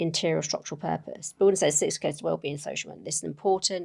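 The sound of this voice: A raspy, put-on character voice at a middle pitch rattles along at a very fast pace.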